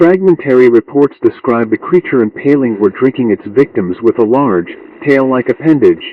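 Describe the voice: With lively intonation, a man at medium pitch speaks at a moderate pace, the sound dry and close with no echo.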